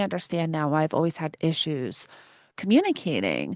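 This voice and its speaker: Over a quiet background, a woman speaks in an animated tone with lively intonation, the sound dry and close with no echo. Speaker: astrologer. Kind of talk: casual astrology forecast monologue. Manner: fast.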